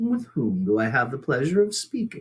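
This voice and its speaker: A man's put-on character voice at a medium pitch, with very wide pitch swings and a moderate pace. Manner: friendly, cheerful.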